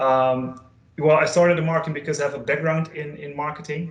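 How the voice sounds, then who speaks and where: A man with a Dutch accent in monotone, flat intonation, with audible room echo. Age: 20s. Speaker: data consultant and trainer; trainer. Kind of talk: online training session. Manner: halting, many fillers. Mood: friendly, relaxed. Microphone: video call.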